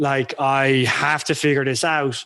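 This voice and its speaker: A fairly high-pitched man with an Irish accent. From Ireland. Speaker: freelancer, former engineer. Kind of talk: podcast interview. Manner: halting.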